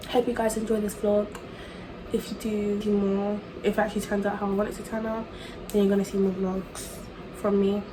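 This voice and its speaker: A woman with a British accent talks at a fairly quick pace in a monotone, flat way, with long, frequent pauses, audible room echo and noticeable background noise. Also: medium pitch for a woman. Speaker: student vlogger. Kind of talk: casual vlog. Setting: outdoors in the rain. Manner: casual, chatty.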